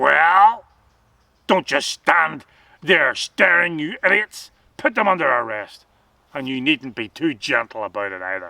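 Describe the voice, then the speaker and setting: In a put-on character voice, a man growls at a fairly high pitch and a moderate pace, with very wide pitch swings and long, frequent pauses. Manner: commanding, scornful.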